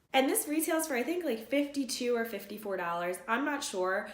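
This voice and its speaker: A woman at a fairly quick pace, her pitch swinging very widely, amid noticeable background noise and audible room echo. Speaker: beauty youtuber. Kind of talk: product review vlog. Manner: casual, filler-heavy.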